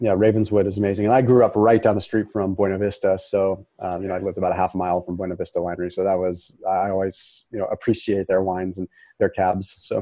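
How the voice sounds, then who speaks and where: A man with a Californian accent talks at a very fast pace. His fairly low voice has monotone, flat intonation. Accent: American (Californian). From Northern California (Sonoma). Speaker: health expert. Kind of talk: interview. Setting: studio, in person.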